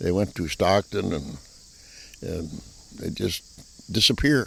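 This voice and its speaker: Using vocal fry, a man with an American accent speaks very deep and low with very wide pitch swings. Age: 80s+. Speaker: retired farmer. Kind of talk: interview answer.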